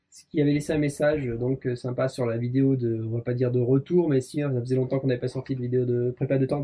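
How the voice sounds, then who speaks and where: This man's voice has a dark, mellow tone and is somewhat breathy. He speaks at a moderate pace. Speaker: motorcycle mechanics YouTuber. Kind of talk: casual chat. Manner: animated.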